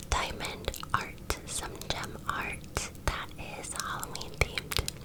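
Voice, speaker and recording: Whispering at a very slow pace, a woman can be heard over noticeable background noise. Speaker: ASMR creator. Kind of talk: casual chatty talk to camera during a craft video. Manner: whispered, soft-spoken.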